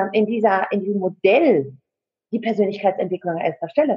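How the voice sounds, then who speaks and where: Medium pitch and a somewhat breathy tone from a woman, delivered at a moderate pace. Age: 40s. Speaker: coach and network marketing partner. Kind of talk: interview, personal life story. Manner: hesitant with many fillers.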